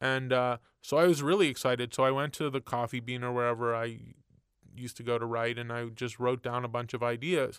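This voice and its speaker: A man with a medium-pitched, unremarkable speaking voice talks with fairly even intonation on a very clean recording against a silent background. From Montreal, Canada. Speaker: TV writer and executive producer. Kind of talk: interview. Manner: casual, relaxed.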